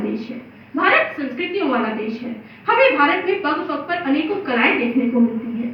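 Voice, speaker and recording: A woman speaks with lively intonation at a high pitch. Noticeable background noise is present. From India, Chhattisgarh. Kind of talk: declamation contest speech. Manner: oratorical, impassioned.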